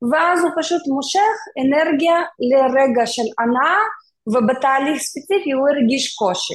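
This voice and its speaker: A woman speaks at a fairly slow pace in a high voice with lively intonation and very even loudness. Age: 40s. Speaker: mentor and tech worker. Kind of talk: interview conversation.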